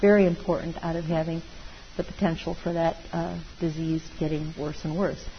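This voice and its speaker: Woman at a fairly low pitch, moderate pace and monotone, flat intonation, over noticeable background noise. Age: 60s. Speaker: meditation teacher. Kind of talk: dharma talk.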